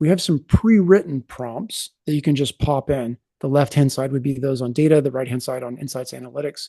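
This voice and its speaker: The voice has a dark, mellow tone and is somewhat breathy, moving at a fairly quick pace with ordinary pitch variation. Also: man. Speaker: software product presenter. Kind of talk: product demo webinar. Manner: fast.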